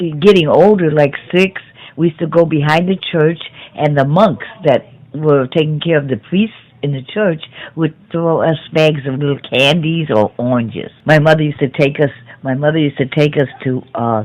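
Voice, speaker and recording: A woman's very deep, low voice in a Chicago accent, ordinary pitch variation, noticeable background noise. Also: moderate pace. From US Midwest, South Chicago. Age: 70s. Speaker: grandmother interviewed by grandchild. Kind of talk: family oral history interview. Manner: halting.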